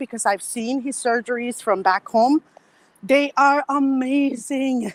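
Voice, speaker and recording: A woman with a non-native accent speaks in a high voice with ordinary pitch variation, recorded with a dry, close sound and no echo. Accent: foreign accent, milder than some colleagues. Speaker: medical worker. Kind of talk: casual chat. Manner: animated.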